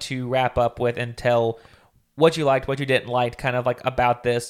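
Recorded very cleanly with a silent background, a man with an unremarkable speaking voice and a medium pitch talks at a fairly quick pace. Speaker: podcast co-host.

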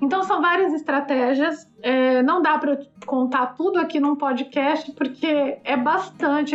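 A woman's high voice at a fairly slow pace. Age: 50s. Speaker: travel blogger and travel agent. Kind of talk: interview, casual chat.

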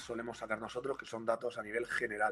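Man's voice with noticeable background noise. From Murcia, Spain. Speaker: university lecturer and researcher. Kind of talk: live-streamed interview.

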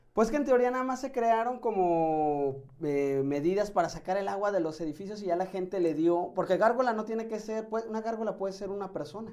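Speaking at a fairly quick pace with hardly any pauses, a man uses a high pitch and lively intonation. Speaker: doctor. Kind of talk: casual chat.

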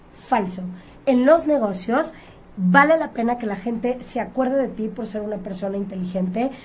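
Pitched fairly high, a woman speaks in a Mexican accent at a moderate pace. Her voice is somewhat breathy, with ordinary pitch variation. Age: 30s. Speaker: image consultant. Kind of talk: radio interview.

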